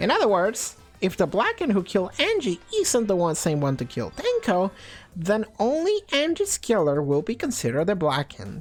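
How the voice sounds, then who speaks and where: A man speaks in a put-on character voice, pitched high, at a moderate pace. Faint music plays in the background. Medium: game stream. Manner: playful, smug.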